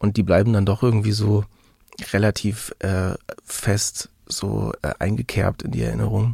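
The sound is dry and close with no echo as a man talks at a fairly slow tempo. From Mecklenburg-Western Pomerania, Germany. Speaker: musician. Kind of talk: interview. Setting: video call. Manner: halting, many fillers.

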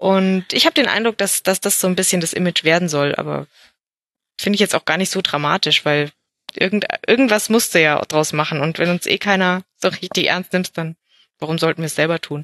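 Fairly quick and dry, close with no echo, a woman's voice sits at a medium pitch with ordinary pitch variation. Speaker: football podcaster, Augsburg fan. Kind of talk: casual chat. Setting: at home with baby on chest.

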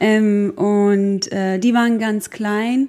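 A woman speaks at a medium pitch with fairly even intonation. Her tone is dark and mellow. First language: Croatian/Bosnian (speaking German). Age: 30s. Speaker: war refugee, technical assistant, mother. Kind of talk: personal life story interview. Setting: on holiday in Saint-Tropez.

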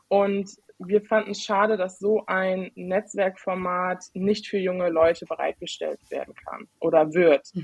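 A woman speaks very slowly with hardly any pauses, her medium-pitched voice flat and monotone, in a dry, close sound with no echo. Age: 20s. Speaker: IT consultant. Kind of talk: podcast interview.

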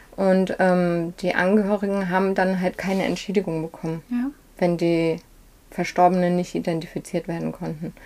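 At a moderate pace, a woman speaks in a fairly low pitch. Her tone is dark and mellow, and her intonation is monotone and flat. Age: 40s. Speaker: fashion shop owner. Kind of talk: interview. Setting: in her shop.

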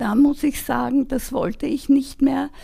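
Vocal fry runs through this woman's dark, mellow voice. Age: 80s+. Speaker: volunteer helper, retiree. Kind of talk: interview conversation. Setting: at her home.

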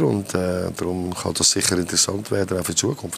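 Over noticeable background noise, a man speaks with a Swiss accent in a very deep, low voice. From German-speaking Switzerland. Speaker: football coach. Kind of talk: panel interview.

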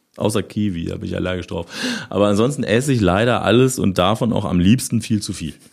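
Delivery comes at a very fast pace. Pitch varies in an ordinary way. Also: man, fairly low pitch for a man. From Lower Saxony, Germany (near Osterode am Harz). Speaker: rock drummer. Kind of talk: casual interview. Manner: hesitant, many fillers.

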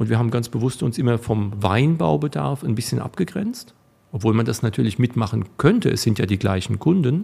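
Speaking at a fairly quick pace, a man with a medium pitch and a dark, mellow tone uses very wide pitch swings and vocal fry while keeping his loudness very even. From Rhineland-Palatinate, Rheinhessen (Alzey). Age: 50s. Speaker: wine equipment business owner. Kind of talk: interview. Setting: studio.

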